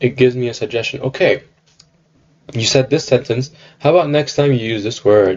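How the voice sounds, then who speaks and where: A man talks with ordinary pitch variation. He keeps a moderate pace. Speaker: software developer demoing a project. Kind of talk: product demo. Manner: halting, many fillers.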